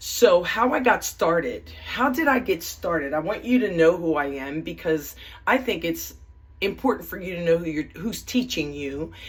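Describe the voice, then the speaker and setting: The speaker has an animated tone, vocal fry, very wide pitch swings and a moderate pace. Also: woman, fairly low pitch for a woman. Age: 60s. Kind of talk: casual video introduction. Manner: halting.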